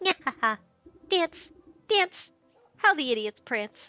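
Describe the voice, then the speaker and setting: Over faint background music, a woman uses a put-on character voice, high-pitched with very wide pitch swings, at a fairly slow pace. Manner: gleeful, mocking.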